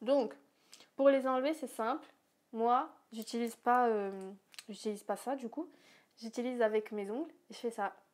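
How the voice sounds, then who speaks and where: A woman speaks in a fairly high pitch with ordinary pitch variation and long, frequent pauses. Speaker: YouTuber. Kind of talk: casual vlog. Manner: fast.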